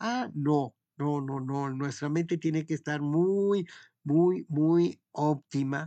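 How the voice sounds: Speaking at a slow pace, a man with a fairly high pitch and a dark, mellow tone shows ordinary pitch variation.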